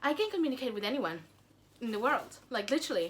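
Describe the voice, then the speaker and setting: A woman with a Spanish accent speaks in a bright, sharp tone. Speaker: YouTuber. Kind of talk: casual Q&A vlog. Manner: hesitant, many fillers and repeats.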